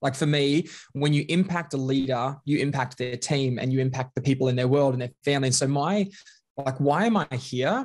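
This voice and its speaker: A somewhat breathy man's voice, fairly high in pitch with ordinary pitch variation and a fairly quick pace. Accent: Australian. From Australia, Queensland (Bundaberg). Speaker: leadership and culture consultant. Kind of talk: casual interview chat.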